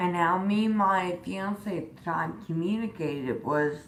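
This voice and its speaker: A woman's fairly low voice with ordinary pitch variation, noticeable background noise and audible room echo. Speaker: vlogger. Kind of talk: personal vlog. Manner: halting, many um fillers.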